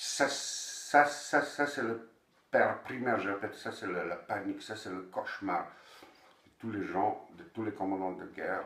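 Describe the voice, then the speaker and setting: A man speaks at a fairly slow pace in audible room echo. His loudness swings a lot. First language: Bosnian (speaking French). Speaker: novelist. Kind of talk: interview. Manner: halting, with many repeated words.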